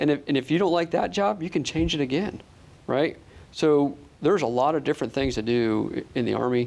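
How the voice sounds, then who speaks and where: Over a quiet background, a man with an American accent and a plain, everyday voice speaks at a fairly quick pace and fairly high pitch, with lively intonation. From upstate New York. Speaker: army officer. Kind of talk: interview.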